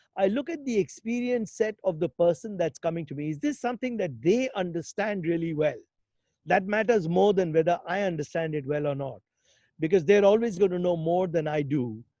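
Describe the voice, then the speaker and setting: Against a quiet background, a man with a high pitch and a dark, mellow tone speaks fairly quickly with lively intonation. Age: 60s. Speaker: investor and health innovation speaker. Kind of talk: webinar interview.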